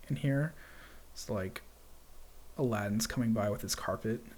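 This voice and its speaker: Dark and mellow in tone, this voice shows ordinary pitch variation. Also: man. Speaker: 3D software tutorial livestream host. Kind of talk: live software tutorial. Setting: live stream with chat.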